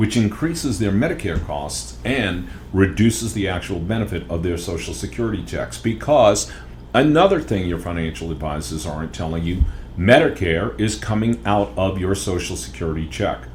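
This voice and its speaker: A man speaks at a moderate pace with a very deep, low pitch. His pitch swings very widely, and room echo is audible. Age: 60s. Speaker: financial educator podcast host. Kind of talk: podcast monologue.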